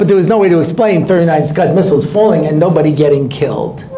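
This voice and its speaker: Over noticeable background noise and audible room echo, a man speaks at a fairly quick pace with ordinary pitch variation. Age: 60s. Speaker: rabbi. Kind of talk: lecture. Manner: animated.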